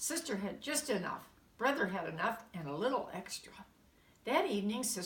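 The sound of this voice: Delivered in an unforced reading voice, the speech has lively intonation.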